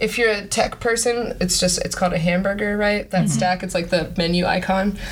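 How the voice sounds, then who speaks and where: A woman speaks fairly quickly at a medium pitch. Her intonation stays fairly even, with noticeable background noise behind her. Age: 30s. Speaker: podcast co-host. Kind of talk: casual chat.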